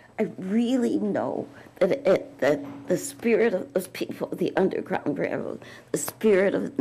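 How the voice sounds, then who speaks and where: Noticeable background noise sits behind a woman who speaks at a fairly slow pace with a medium pitch. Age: 80s+. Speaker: community activist and author. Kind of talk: Q&A at a youth forum.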